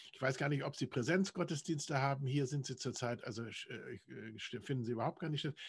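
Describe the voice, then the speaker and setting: The speaker is a man with a somewhat breathy voice. The background is quiet. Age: 70s. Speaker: church parish volunteer interviewer. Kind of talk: interview. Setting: video call.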